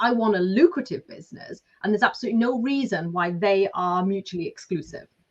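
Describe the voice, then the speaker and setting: Lively intonation marks this woman's speech in a Lancashire accent. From northern England, Lancashire. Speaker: business coach and author. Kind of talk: podcast interview.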